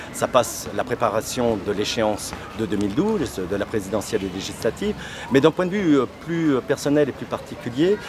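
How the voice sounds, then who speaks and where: The voice swings very widely in pitch. Noticeable background noise runs beneath it. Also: man, medium pitch for a man, moderate pace. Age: 50s. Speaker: political candidate. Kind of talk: interview. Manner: halting, frequent hesitations.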